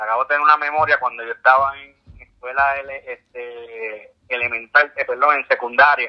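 The intonation is monotone and flat, in a Puerto Rican accent. Loudness swings widely. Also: man, fairly high pitch for a man, moderate pace. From Puerto Rico, San Juan. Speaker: ultramarathon swimmer. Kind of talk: interview. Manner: halting.

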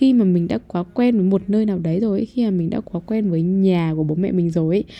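A woman speaks with a dark, mellow tone at medium pitch. Her pace is moderate and her pitch variation ordinary. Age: young. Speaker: podcast host. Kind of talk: casual monologue. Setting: home recording room. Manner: rambling, conversational.

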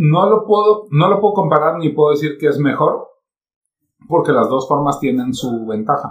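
With an unremarkable speaking voice, a man talks at a moderate pace, his fairly high pitch carried by lively intonation. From Mexico. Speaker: internet radio and podcast producer. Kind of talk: casual chat.

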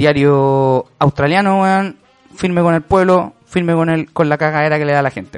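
A normal speaking voice with fairly even intonation, in a dry, close sound with no echo. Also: man. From Chile. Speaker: podcast host. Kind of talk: casual chat.

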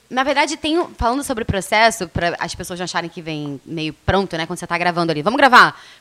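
A woman rushes at a very fast pace with hardly any pauses, her medium-pitched voice making very wide pitch swings and big swings in loudness. Noticeable background noise sits behind her. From Rio de Janeiro, Brazil. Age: 30s. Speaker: radio presenter. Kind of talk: casual interview.

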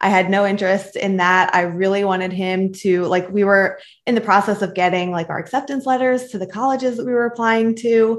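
An ordinary speaking voice with an American accent goes at a fairly quick pace, with hardly any pauses and ordinary pitch variation. The recording is very clean, with a silent background. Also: woman, medium pitch for a woman. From Philadelphia, Pennsylvania (Northeast Philly). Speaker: mother and podcaster. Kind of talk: interview.

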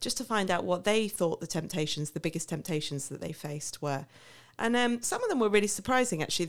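Lively intonation rides on a very fast pace. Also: woman, medium pitch for a woman. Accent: southern English. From England, Milton Keynes. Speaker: missionary. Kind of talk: interview. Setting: studio.

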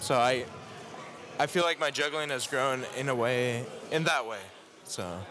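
Against noticeable background noise, a man speaks fairly slowly at a medium pitch. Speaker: competitive juggler. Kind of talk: interview. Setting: juggling convention, background noise.

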